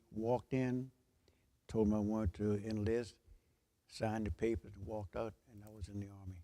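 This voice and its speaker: A dark, mellow tone at a moderate pace, with fairly even intonation, big swings in loudness and long, frequent pauses. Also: man, fairly low pitch for a man. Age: 90s. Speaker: war veteran. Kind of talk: interview. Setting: church sanctuary.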